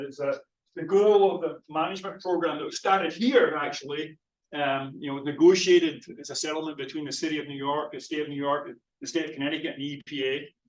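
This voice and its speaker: A man with a Scottish accent talks at a very fast pace, his pitch fairly high and his intonation fairly even. His loudness swings widely. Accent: Scottish, still noticeable. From Scotland. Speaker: physical oceanographer, professor. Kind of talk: lecture. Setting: lecture hall with audience and Zoom. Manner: halting, many fillers and repeats.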